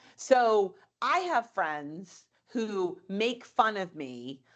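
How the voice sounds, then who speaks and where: A woman speaks with a fairly high pitch. Her tone is animated. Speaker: psychology professor and author. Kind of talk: podcast interview.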